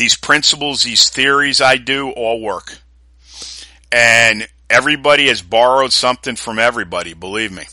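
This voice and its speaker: A man with an American accent, medium pitch, ordinary pitch variation, a bright, sharp tone and a moderate pace, in a very clean recording with a silent background. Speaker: fitness podcast host and strength trainer. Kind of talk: solo motivational pep talk with sales pitch for own products. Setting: solo podcast recording. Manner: emphatic, exhorting, repeating for force; earnest, gruff, confident.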